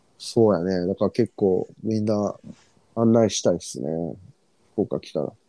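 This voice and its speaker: A man with a strong Fukuoka accent speaks at a moderate pace, taking long, frequent pauses, his fairly low voice showing ordinary pitch variation and big swings in loudness. His tone is dark and mellow, and the sound is dry and close with no echo. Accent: strong rural Fukuoka dialect intonation. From Fukuoka, Japan. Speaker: podcast co-host. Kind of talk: casual chat.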